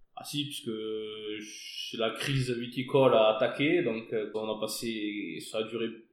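Audible room echo surrounds a man speaking at a medium pitch with fairly even intonation. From southern France, Hérault. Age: 30s. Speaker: winegrower. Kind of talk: casual interview. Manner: hesitant, with fillers.

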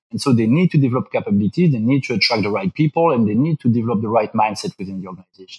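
A man talks very fast at a medium pitch, with hardly any pauses. His delivery is somewhat breathy, with lively intonation. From Belgium. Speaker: business school professor. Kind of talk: interview. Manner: halting, many fillers.

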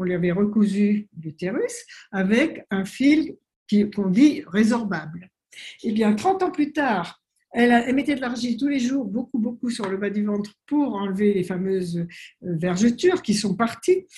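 Her tone is dark and mellow, somewhat breathy, at a fairly high pitch for a woman. She speaks at a fairly slow pace with lively intonation. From French Polynesia (Tahiti). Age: 70s. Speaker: naturopath and author. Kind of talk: interview. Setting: video call.

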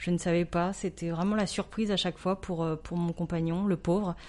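Fairly low in pitch, a woman speaks in a dark, mellow tone. Her pace is fairly slow and her intonation monotone and flat. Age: 40s. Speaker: entrepreneur. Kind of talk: testimony.

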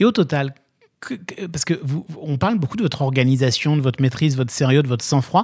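A man talks at a very fast pace in a fairly high pitch, somewhat breathy, with lively intonation. Long pauses come often between his words. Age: 40s. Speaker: podcast host. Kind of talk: interview.

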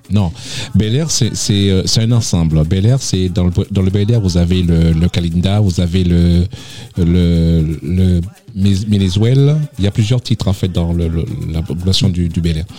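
Over noticeable background noise, a man with a very deep, low pitch speaks at a very even loudness, very slowly, with long, frequent pauses. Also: fairly even intonation. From Martinique, south (Le Vauclin). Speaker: association president. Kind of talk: radio interview.

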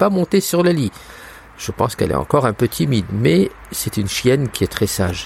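Noticeable background noise beneath a fairly quick delivery full of very wide pitch swings. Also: man. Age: 60s. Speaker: blind guide dog user. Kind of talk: recorded voice memo diary.

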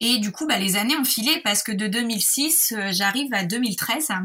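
A woman talks at a very slow pace in a fairly high pitch. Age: 30s. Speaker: patient with Crohn's disease. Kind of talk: personal testimony. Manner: hesitant, many fillers.

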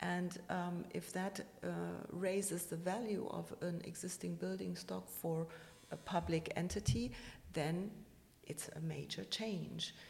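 Speaking fairly slowly, a woman talks with a German accent. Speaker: architect, president of a professional body. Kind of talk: interview. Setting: office building.

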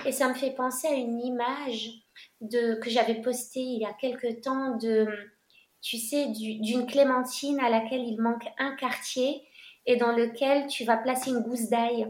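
A woman with a high pitch talks at a fairly slow pace in a monotone, flat intonation, with audible room echo around her. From Morocco, then France. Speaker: coach for gifted women. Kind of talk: casual interview.

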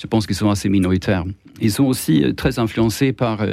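A man's dark, mellow tone sits at a fairly low pitch, with ordinary pitch variation. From Sweden. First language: Swedish (speaking French). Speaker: journalist. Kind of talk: radio panel debate. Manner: halting, many repetitions.

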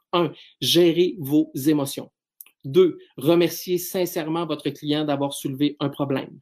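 A man with a Quebec accent at a very slow pace, fairly even in intonation, on a very clean recording with a silent background. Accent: Québécois French. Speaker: business speaker and trainer. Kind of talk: solo podcast talk.

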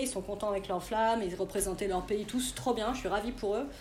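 Speaking at a fairly quick pace with fairly even intonation, a woman's medium-pitched voice carries audible room echo. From Burgundy, France (near Auxerre). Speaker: skateboard industry agent. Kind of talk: interview.

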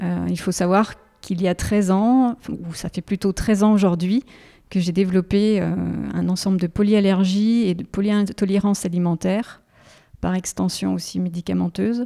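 A woman speaks at a fairly slow pace in a medium pitch, her tone dark and mellow with fairly even intonation. The sound is dry and close with no echo, on a very clean recording with a silent background. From France, Haute-Savoie. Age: 50s. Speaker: patient, former engineer retraining as pastry chef. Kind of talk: interview testimony. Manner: halting, with frequent repetitions.

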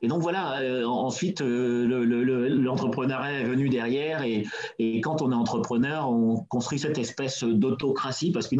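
A man with a medium pitch keeps a moderate pace and fairly even intonation while noticeable background noise runs underneath. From France, Seine-Saint-Denis (Pierrefitte). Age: 40s. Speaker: entrepreneur. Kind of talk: interview. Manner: hesitant, many fillers.

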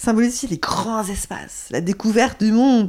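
A woman talking at a fairly slow pace. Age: 50s. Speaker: astrology coach. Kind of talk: interview conversation. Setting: at the guest's home.

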